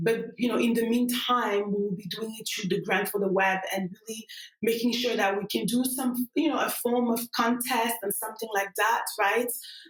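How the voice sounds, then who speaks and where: With a French accent, a woman speaks at a moderate pace in a fairly high pitch, with ordinary pitch variation. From Cameroon. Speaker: tech startup cofounder. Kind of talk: podcast interview. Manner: halting, many fillers.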